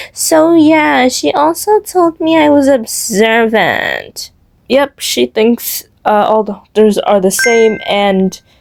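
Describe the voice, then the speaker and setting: Quiet and very slow, a woman speaks with a fairly high pitch and very wide pitch swings. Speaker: storytime YouTuber. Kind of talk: casual storytime talk to camera. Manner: shifts between quiet and loud, low-energy delivery.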